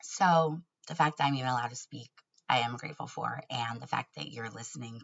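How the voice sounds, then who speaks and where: Speaking at a fairly quick pace, a woman with an American accent shows vocal fry. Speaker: YouTuber. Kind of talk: casual vlog monologue.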